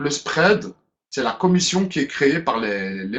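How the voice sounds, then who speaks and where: The man speaks at a moderate pace with a fairly high pitch. His voice makes very wide pitch swings. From Belgium, Brussels. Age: 30s. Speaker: business presenter. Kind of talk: webinar presentation. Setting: online webinar. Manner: hesitant, with fillers.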